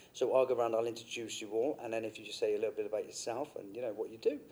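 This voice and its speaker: Speaking at a very fast pace, a man talks with a British accent. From UK. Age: 30s. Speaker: podcast host, business owner. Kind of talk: casual podcast interview.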